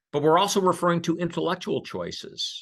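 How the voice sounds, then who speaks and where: A man with an American accent, vocal fry, and a moderate pace. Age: 60s. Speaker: investment firm speaker. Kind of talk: webinar presentation. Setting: online webinar. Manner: conversational, some hesitations.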